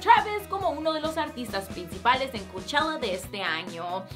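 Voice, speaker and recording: High-pitched woman's voice at a moderate pace, with clear music in the background. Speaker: entertainment news host. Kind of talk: news presentation. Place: studio.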